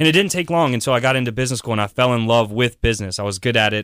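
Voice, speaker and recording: A man with an American accent and an unremarkable speaking voice, medium in pitch with ordinary pitch variation, in a very clean recording with a silent background and a dry, close sound with no echo. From South Carolina, Columbia area. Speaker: startup venture builder, CEO. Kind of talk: radio interview.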